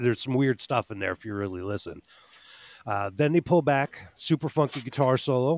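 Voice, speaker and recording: Dry, close sound with no echo carries a man's medium-pitched voice. He talks at a moderate pace with ordinary pitch variation. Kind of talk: casual chat.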